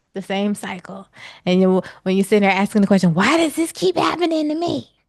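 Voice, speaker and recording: A woman speaks loudly at a medium pitch and fairly quick pace. Her animated delivery swings very widely in pitch. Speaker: spiritual healing coach. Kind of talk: casual chat.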